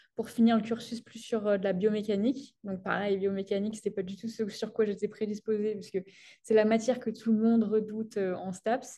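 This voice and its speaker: Monotone, flat intonation meets a dark, mellow, somewhat breathy tone, with big swings in loudness at a fairly quick pace. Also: woman, fairly high pitch for a woman. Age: 20s. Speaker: sports science PhD student. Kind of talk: interview. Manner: hesitant, many fillers.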